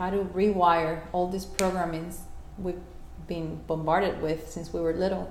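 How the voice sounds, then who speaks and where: A woman with a Spanish accent at a medium pitch, moderate pace, with noticeable background noise and audible room echo. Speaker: life coach. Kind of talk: interview. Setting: at home.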